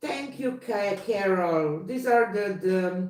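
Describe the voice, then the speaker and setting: A woman speaks very slowly at a medium pitch, with ordinary pitch variation. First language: not English. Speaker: fluid artist. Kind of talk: live stream chat. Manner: halting.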